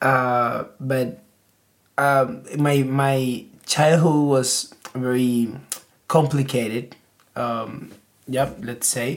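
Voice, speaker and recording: At a very slow pace and with long, frequent pauses, the speaker talks with a Spanish accent. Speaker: podcast guest. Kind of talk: casual chat. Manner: halting.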